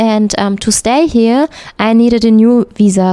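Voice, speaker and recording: A woman with a German accent and a dark, mellow tone, fairly even intonation and a moderate pace, in a dry, close sound with no echo. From Germany, north-west (Hamm). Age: 30s. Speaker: textile engineer. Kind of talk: interview. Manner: hesitant, frequent fillers.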